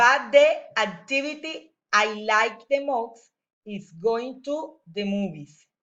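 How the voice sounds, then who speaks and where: A woman's fairly high voice in a Spanish accent, with lively intonation at a very slow pace. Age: 40s. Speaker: teacher. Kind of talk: reading aloud. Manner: halting.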